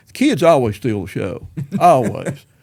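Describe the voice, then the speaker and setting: A man's dark, mellow voice with a Southern US accent at a moderate pace. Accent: Southern American. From East Tennessee. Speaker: retired musician and school principal. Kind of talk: interview answer. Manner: casual, rambling.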